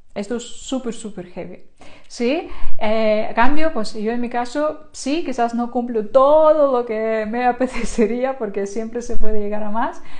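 With typical pitch movement, a woman's fairly high voice proceeds at a fairly slow pace. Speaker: online creator and course instructor; online creator, course instructor. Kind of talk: live stream talk to viewers. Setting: live stream. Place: home room. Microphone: lapel.

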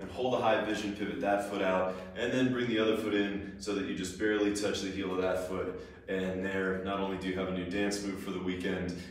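In a room with strong echo, a man talks at a fairly quick pace with a very deep, low pitch and fairly even intonation. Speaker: movement instructor. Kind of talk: tutorial.

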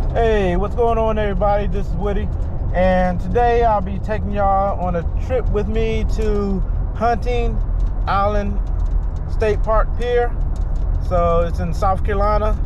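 Over noticeable background noise, a man speaks at a fairly slow pace with long, frequent pauses, the sound dry with no echo. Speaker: fishing vlogger. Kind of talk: casual vlog chat. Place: car.

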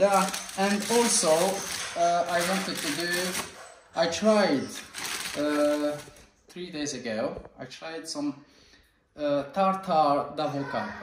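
Amid noticeable background noise, a man talks at a very slow pace. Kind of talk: casual cooking vlog explanation. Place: kitchen. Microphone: phone near.

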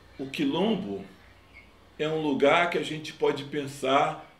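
A man speaks at a very slow pace, with audible echo in the room. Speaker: grandson of a poet. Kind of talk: interview answer. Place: home room.

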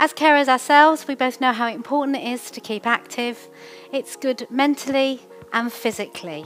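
A woman with a high voice speaks at a moderate pace while faint music plays in the background. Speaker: fitness instructor. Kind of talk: exercise class instruction. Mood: warm, encouraging. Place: home room.

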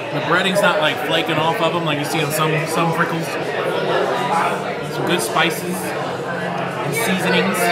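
A man speaks at a fairly slow pace, with long, frequent pauses. Crowd noise can be heard behind him. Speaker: food vlogger. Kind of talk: casual vlog chat. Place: cafe. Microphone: camera far.

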